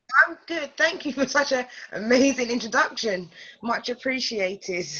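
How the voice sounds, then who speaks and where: A woman's high voice with a British accent, lively intonation and a moderate pace. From London. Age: 30s. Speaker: life coach. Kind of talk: interview. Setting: call.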